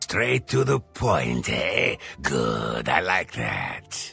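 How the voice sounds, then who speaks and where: Putting on a character voice, a man makes very wide pitch swings as faint music plays in the background. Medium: video game. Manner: polite, self-satisfied.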